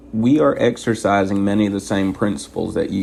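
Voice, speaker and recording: This soft-spoken man talks at a fairly quick pace, his fairly low voice keeping a fairly even intonation. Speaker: truck driver trainer. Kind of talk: tutorial. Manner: soft-spoken, quiet inside voice.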